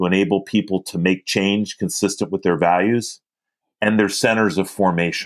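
A man with an American accent speaks at a moderate pace in an unremarkable speaking voice, fairly low in pitch with fairly even intonation. The recording is very clean, with a silent background. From Philadelphia. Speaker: community organizer. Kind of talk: interview.

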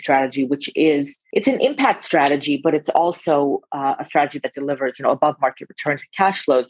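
A woman with an American accent speaks in a very deep, low pitch. The sound is dry and close, with no echo. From California, San Francisco Bay Area. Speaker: investment firm partner. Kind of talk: interview.

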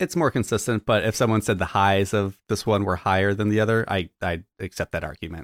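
A man with a normal speaking voice and fairly low pitch talks at a fairly quick pace with hardly any pauses. The sound is dry and close, with no echo. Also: ordinary pitch variation, very clean recording, silent background. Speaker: podcast co-host.

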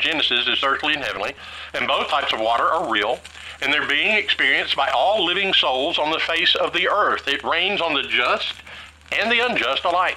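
Amid noticeable background noise, a man with a Southern US accent speaks at a moderate pace in a high voice whose pitch swings very widely. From Tennessee. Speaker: Bible teacher. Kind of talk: Bible study teaching.

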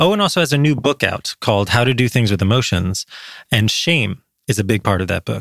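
A man with an unremarkable speaking voice and an American accent talks at a fairly quick pace with medium pitch and lively intonation. The recording is very clean, with a silent background. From US, New Jersey. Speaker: podcast host, addiction psychiatrist. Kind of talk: interview podcast with scripted intro and outro.

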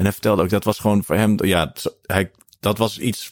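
At a moderate pace, a man speaks in a fairly low pitch with a normal speaking voice. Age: 50s. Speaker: jazz drummer and podcast host. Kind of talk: casual interview. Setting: video call.

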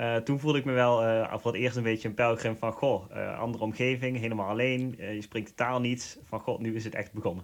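A man with a Limburg accent speaks at a fairly quick pace with hardly any pauses. His medium-pitched voice has monotone, flat intonation. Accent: Limburg Dutch. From Netherlands, Limburg. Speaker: pilgrim. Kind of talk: interview. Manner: hesitant, many fillers.

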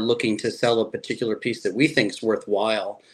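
This is a normal speaking voice with an American accent and fairly even intonation. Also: man. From Chicago area, US Midwest. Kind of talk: interview.

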